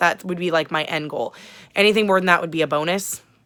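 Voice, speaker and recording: A woman speaks loudly at a fairly low pitch in a bright, sharp tone. The recording is very clean, with a silent background. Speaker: booktube vlogger. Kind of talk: casual vlog chat. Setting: small apartment, sitting on bed.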